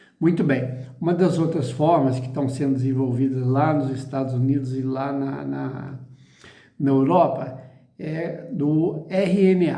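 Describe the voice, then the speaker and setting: With audible room echo, a man talks fairly slowly at a fairly high pitch and with fairly even intonation. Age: 60s. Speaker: chemist giving commentary. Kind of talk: explanatory video talk. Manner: halting.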